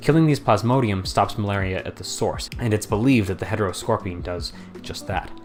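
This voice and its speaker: A man's fairly low voice at a fairly quick pace, with big swings in loudness and music in the background. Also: ordinary pitch variation. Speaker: science explainer narrator. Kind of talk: educational video narration.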